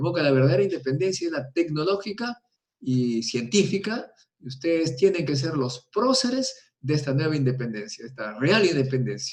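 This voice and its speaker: The somewhat breathy voice moves at a moderate pace with very wide pitch swings. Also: man, fairly high pitch for a man. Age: 70s. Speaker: nuclear physicist. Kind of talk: interview. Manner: animated.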